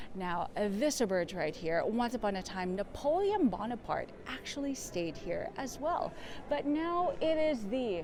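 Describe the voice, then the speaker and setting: A woman's high voice with very wide pitch swings, at a moderate pace over noticeable background noise. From Philippines. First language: Tagalog. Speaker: travel vlogger / tour guide. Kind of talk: walking tour vlog. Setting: outdoors walking in city. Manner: casual, hesitant with fillers.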